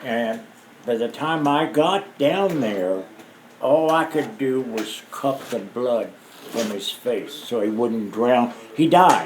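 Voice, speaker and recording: Against noticeable background noise and audible room echo, a man speaks at a very slow pace with lively intonation. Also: medium pitch for a man. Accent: American. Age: 60s. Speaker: war veteran. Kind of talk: oral history interview. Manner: halting.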